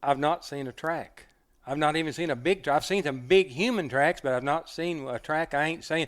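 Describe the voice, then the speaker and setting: On a very clean recording with a silent background, a man with an American accent and a plain, everyday voice speaks at a fairly high pitch and a moderate pace, with ordinary pitch variation. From Oklahoma mountains. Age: 60s. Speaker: hunter and dog man. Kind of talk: casual interview storytelling.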